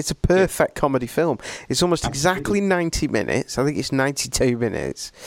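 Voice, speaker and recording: A man with an English accent, fairly high pitch and very wide pitch swings. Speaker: podcast host. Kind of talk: casual chat. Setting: video call.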